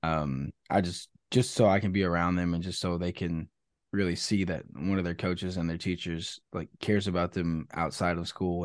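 Against a quiet background, a man with a Texan accent and a very deep, low pitch speaks fairly quickly in a flat monotone, the sound dry and close with no echo. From Texas, near Austin. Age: 20s. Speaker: musician. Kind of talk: casual interview, faith testimony.

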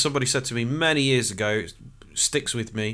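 On a very clean recording with a silent background, a man speaks with an East Midlands accent at a fairly quick pace. His tone is bright and sharp, with medium pitch and ordinary pitch variation. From Nottingham, England. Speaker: executive coach. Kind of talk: casual interview.

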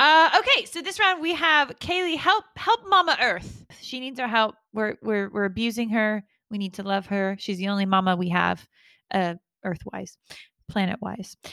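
A woman's fairly high, bright, sharp voice at a moderate pace, with very wide pitch swings and a dry, close sound with no echo, on a very clean recording with a silent background. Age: 30s. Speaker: podcast host. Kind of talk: casual comedic chat.

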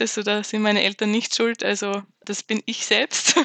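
A woman talks at a moderate pace with a bright, sharp tone. The sound is dry and close, with no echo. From Austria. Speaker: management consultant. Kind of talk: interview.

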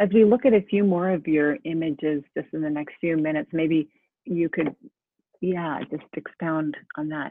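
At a moderate pace, a woman with an unremarkable speaking voice talks in a fairly low pitch with ordinary pitch variation. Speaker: arts center director hosting a talk show. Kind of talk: moderated panel discussion. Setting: video call.

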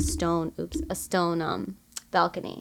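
In a very clean recording with a silent background, a woman with an American accent speaks at a very slow pace with ordinary pitch variation. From Michigan. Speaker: podcast host. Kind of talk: casual chat.

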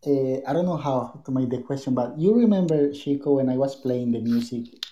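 A man's dark, mellow voice with a Spanish accent, fairly high in pitch, with ordinary pitch variation. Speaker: tango dancer. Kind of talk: casual chat.

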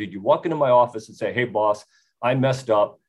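Speaking at a very fast pace, a man with an American accent uses a medium pitch. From United States. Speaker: retired army officer and author. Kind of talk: panel discussion. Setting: remote call.

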